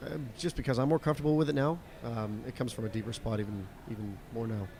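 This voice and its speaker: A man's pitch varies in an ordinary way while he speaks very fast. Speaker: country singer. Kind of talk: interview. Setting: video call. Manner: halting, many fillers.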